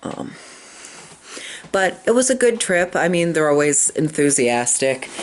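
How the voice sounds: The voice is squeaky, with big pitch swings and a fairly slow pace.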